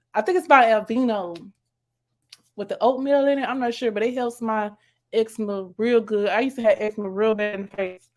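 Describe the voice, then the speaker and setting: Captured in a very clean recording with a silent background, a woman with an American accent speaks at a fairly high pitch and a fairly quick pace, her intonation fairly even. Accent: country-sounding speech, per others. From US, military child raised on bases. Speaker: YouTube vlogger. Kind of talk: casual live stream chat. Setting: live stream. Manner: casual, chatty.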